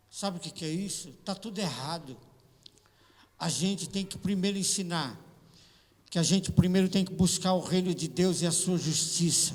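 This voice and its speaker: Audible room echo surrounds a man with a high pitch. He talks at a moderate pace with fairly even intonation and long, frequent pauses. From Brazil, São Paulo. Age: 60s. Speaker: pastor. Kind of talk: sermon. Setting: church.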